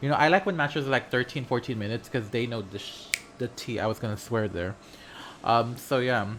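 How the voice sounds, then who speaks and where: A man speaks fairly quickly, his pitch varying in an ordinary way, while noticeable background noise runs behind him. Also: medium pitch for a man. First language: not English. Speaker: gaming content creator. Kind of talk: gameplay commentary. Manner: animated.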